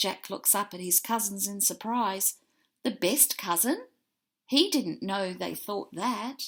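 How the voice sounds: Ordinary pitch variation marks this natural reading voice. Behind it, the background stays quiet.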